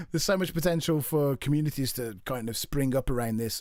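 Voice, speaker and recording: A man is heard here at a medium pitch. His pitch variation is ordinary. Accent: Birmingham. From English Midlands, Birmingham. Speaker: gaming streamer. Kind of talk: casual chat. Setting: live stream. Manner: halting.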